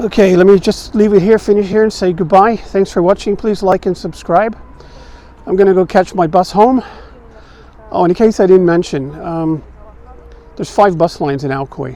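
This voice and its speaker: Amid noticeable background noise, a man with a high pitch and ordinary pitch variation talks at a moderate pace, broken by long, frequent pauses. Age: 60s. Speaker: vlogger. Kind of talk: walking tour vlog. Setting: outdoors. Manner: casual, halting.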